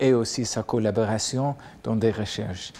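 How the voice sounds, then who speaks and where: A man talks at a very slow pace in a dark, mellow tone. His intonation is flat and monotone. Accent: American. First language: English (speaking French). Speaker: professor. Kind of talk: lecture.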